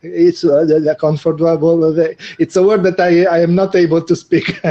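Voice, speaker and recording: The speaker has an Italian accent and a moderate pace. The intonation is monotone and flat, and the loudness very even. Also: man, high pitch for a man. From Italy. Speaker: video marketing co-host. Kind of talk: live online show chat. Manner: halting, many fillers.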